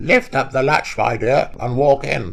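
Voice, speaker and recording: A man does a put-on character voice that is gruff and hoarse. He keeps a medium pitch and a moderate pace. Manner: feigning gentleness.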